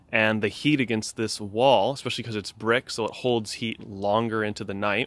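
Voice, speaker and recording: A man at a moderate pace, the sound dry with no echo. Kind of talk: casual vlog chat. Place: garden. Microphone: phone near.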